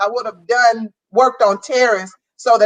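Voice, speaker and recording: Her pitch fairly high and its variation ordinary, a woman talks at a moderate speed. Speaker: guest mother. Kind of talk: casual chat. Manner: loud.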